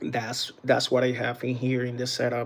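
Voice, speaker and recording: At a fairly slow pace, a man with a Puerto Rican accent speaks at a medium pitch. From Puerto Rico. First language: Spanish. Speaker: battery tester and DIY group moderator. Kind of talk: live stream equipment demonstration. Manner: halting, many fillers.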